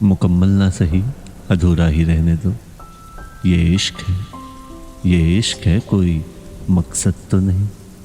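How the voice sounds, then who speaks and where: Over music in the background, a man keeps very even loudness and fairly even intonation, with long, frequent pauses. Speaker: poetry narrator. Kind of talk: Hindi poetry reading, emotional one-sided love monologue. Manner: soft, slow, soulful.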